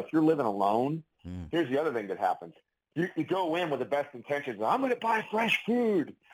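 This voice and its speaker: Here a man talks at a fairly quick pace. His fairly high pitch swings very widely. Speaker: clinical pharmacist and author. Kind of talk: casual interview chat. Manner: conversational, chatty, animated.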